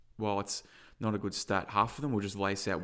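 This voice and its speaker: In a very clean recording over a silent background, a man talks at a fairly quick pace with a fairly low pitch. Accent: Australian. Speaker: football podcast co-host. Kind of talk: casual sports chat, match review. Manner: emotional, animated.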